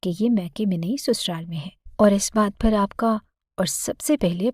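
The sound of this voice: The reading voice is unforced. Its pitch varies in an ordinary way over a quiet background.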